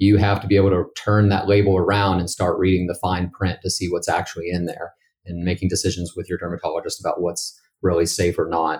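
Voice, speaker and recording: A man's very deep, low, somewhat breathy voice with an American accent, monotone and flat at a very fast pace, on a very clean recording with a silent background. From West Virginia. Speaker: dermatologist. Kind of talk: interview.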